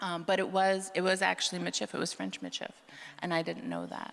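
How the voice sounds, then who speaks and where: Speaking at a very fast pace, a woman talks with a Canadian prairie accent. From Manitoba, Canada (Franco-Manitoban Métis). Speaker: author. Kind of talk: live panel discussion. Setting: stage with live audience. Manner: halting, many restarts.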